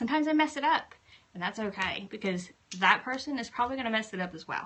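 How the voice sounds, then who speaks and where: A woman with a Southern US accent speaks very fast at a fairly high pitch, with lively intonation. There is noticeable background noise. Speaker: craft blogger and YouTuber. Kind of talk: live stream tutorial. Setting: home craft room.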